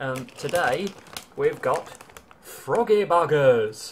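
Male speech, faint noise in the background. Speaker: vlogger. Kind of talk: casual vlog chat. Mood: jokey, relaxed. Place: home room. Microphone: phone near.

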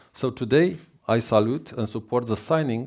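A man with a Romanian accent talks at a fairly quick pace in a medium pitch. The background is quiet. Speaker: government minister. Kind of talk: formal speech. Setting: stage with audience at conference. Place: hall.

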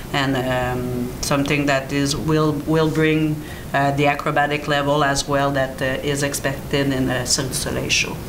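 A woman with a French accent and a very deep, low pitch speaks at a moderate pace in a monotone, flat intonation, with noticeable background noise behind her. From Quebec. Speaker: acrobatic choreographer, former performer. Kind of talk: panel interview. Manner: halting, many fillers. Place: meeting room.

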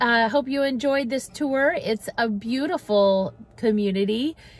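A woman's voice, dry with no echo, over faint music in the background. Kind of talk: neighborhood tour commentary. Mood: warm, upbeat. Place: car. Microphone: phone near.

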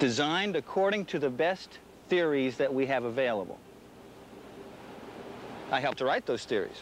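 A man speaks with lively intonation in a dry sound with no echo, over noticeable background noise. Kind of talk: interview answer. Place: open country. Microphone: lapel.

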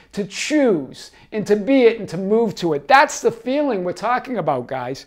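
The man's intonation is lively, and the background behind him is quiet. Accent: Boston. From Boston. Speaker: life coach. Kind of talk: casual talk to camera. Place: home room. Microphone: lapel.

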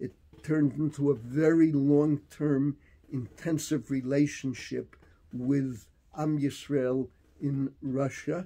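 Speaking with an American accent, a man uses a fairly high pitch and a dark, mellow tone. His intonation stays fairly even at a very slow pace. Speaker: rabbi and teacher; storyteller recalling history. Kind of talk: storytelling in interview. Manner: reminiscing, conversational. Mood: warm, at times smiling. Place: office. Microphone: phone near.

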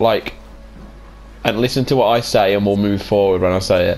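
With a British accent, a man speaks using ordinary pitch variation. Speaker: gaming YouTuber. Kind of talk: casual gameplay chat. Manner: jokey, animated.

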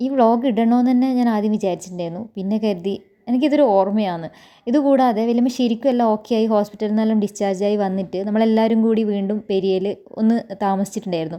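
The woman's pitch sits fairly high and varies in an ordinary way. Her tone is dark and mellow. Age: 30s. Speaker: vlogger. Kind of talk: personal vlog monologue.

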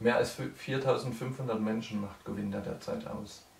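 A man's fairly low voice with vocal fry and fairly even intonation, at a moderate pace in audible room echo

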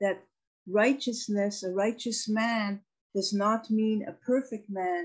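The background stays quiet. A woman talks with a somewhat breathy quality. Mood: earnest, reflective. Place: home room. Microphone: video call.

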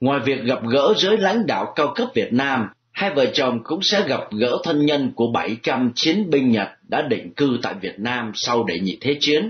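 A man speaks at a fairly slow pace in a somewhat breathy voice. His pitch is fairly high and swings very widely. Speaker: radio news presenter. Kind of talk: news reading.

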